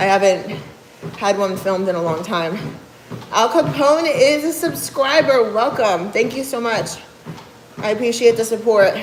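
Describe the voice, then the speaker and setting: With a New Jersey accent, a woman speaks at a fairly high pitch with very wide pitch swings and long, frequent pauses, over noticeable background noise and audible room echo. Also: moderate pace. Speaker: fitness coach and bodybuilder. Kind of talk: livestream chat reading viewer comments. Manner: casual, conversational.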